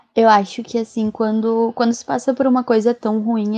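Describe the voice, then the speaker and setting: A woman speaks in a fairly high voice with a dark, mellow tone and flat, monotone intonation, against a quiet background. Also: dry, close sound with no echo. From southern Brazil, Rio Grande do Sul. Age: 20s. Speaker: advertising professional. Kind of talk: casual chat.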